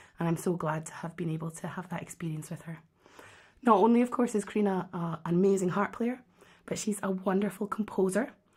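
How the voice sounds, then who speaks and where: A woman's somewhat breathy, medium-pitched voice in a Scottish accent at a very fast pace, with ordinary pitch variation. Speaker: harpist and online harp teacher. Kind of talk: live stream hosting and interview. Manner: animated, enthusiastic.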